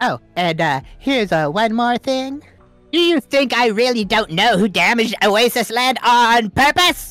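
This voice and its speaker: Faint music sits behind a fairly high voice speaking at a moderate pace. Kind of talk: comic overacting. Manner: smug, mocking.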